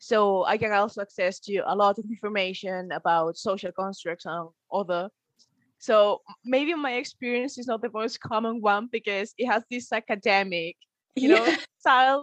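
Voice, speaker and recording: A woman with a Spanish accent speaks at a moderate pace in a fairly high pitch, with ordinary pitch variation. The background is quiet and the sound is dry and close, with no echo. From Spain, Galicia. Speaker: university student. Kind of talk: interview.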